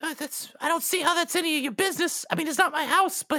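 A put-on character voice pitched high. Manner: eager, rambling, starstruck.

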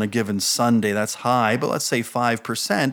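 Here a man talks in a New Jersey accent. The recording is very clean, with a silent background. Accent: American, New Jersey. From New Jersey, US. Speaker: church board chair, minister. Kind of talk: interview, casual chat about faith.

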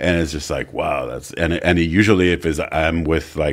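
Vocal fry marks this man's very deep, low voice. He keeps a moderate pace and fairly even intonation. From France, Paris. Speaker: album designer and photographer. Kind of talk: casual chat. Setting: studio.

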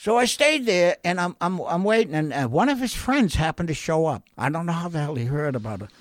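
A man's high voice in an American accent, fairly quick with hardly any pauses and very wide pitch swings, on a very clean recording with a silent background. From Massachusetts (North Shore). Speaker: recovering alcoholic sharing his story. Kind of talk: testimony.

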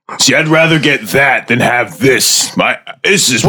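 This man uses a put-on character voice. His pitch sits fairly high. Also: moderate pace. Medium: actual play.

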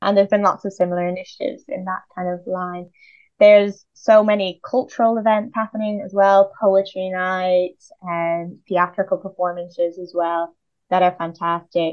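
A woman with a Dublin accent at medium pitch and a moderate pace, with fairly even intonation and big swings in loudness. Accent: Irish (Dublin). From Ireland, Dublin area. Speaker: PhD researcher in linguistic anthropology. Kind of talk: interview.

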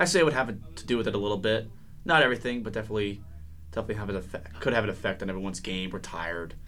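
In a room with audible echo, a man with an American accent and a fairly low pitch talks very fast, his tone bright and sharp and his intonation lively. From Connecticut, Danbury area. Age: 20s. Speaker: college hockey team captain. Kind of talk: radio interview. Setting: radio studio.

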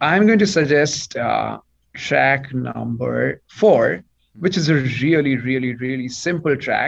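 A man with an Indian accent, speaking at a very slow pace. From eastern India. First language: Bengali. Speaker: PhD student in aerospace and astrophysics. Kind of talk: radio interview. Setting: video call.

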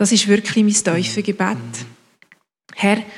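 A somewhat breathy woman's voice, medium in pitch, with monotone, flat intonation. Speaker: congregation member praying. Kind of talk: spoken prayer.

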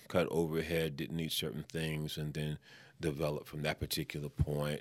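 A man with an American accent has a very deep, low pitch. His tone is bright and sharp. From New York City, Spanish Harlem. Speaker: entrepreneur and minister. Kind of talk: casual interview.

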